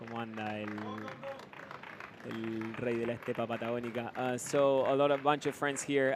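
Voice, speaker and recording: Noticeable background noise accompanies a man who talks at a moderate pace with fairly even intonation. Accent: Argentine. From Argentina. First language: Spanish. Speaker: live race commentator. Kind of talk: live commentary. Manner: halting, many fillers.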